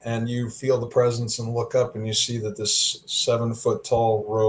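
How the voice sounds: Here, the delivery is a natural reading voice.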